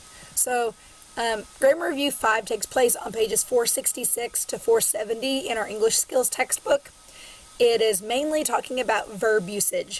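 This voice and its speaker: A woman speaks in a Southern US accent at a moderate pace. Her pitch is fairly high, with ordinary pitch variation. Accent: Southern twang. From Southern Illinois. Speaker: college English instructor. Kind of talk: recorded online lecture. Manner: casual, filler-heavy.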